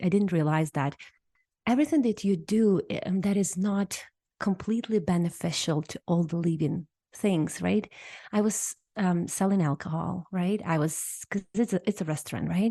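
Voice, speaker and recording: Against a quiet background, a woman talks in a somewhat breathy, dark and mellow voice at a medium pitch with lively intonation. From Ukraine, small town. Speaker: hypnotherapist. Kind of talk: podcast interview.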